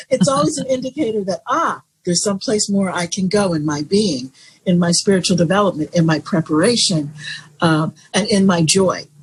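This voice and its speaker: A woman's somewhat breathy voice in an American accent, with lively intonation. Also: medium pitch for a woman. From Florida, USA. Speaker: jazz singer. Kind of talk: interview answer.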